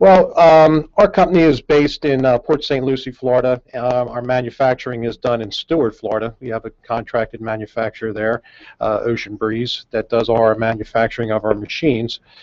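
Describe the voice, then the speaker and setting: A man speaks at a fairly quick pace with a Northeastern US accent. His pitch varies in an ordinary way. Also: medium pitch for a man, hardly any pauses. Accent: Northeast US. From US Northeast, outside Philadelphia. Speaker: company CEO. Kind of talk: radio interview. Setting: studio.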